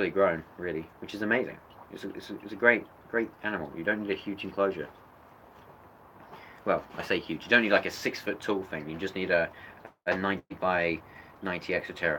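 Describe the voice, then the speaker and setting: A man with a British accent speaks at a fairly quick pace in a fairly low voice. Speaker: reptile keeper youtuber. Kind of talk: livestream animal show-and-tell. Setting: indoor reptile room. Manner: loud.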